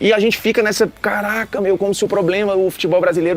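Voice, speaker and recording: Music plays behind a man who talks very fast. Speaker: football commentator reacting to a TV show. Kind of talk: casual react commentary. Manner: animated.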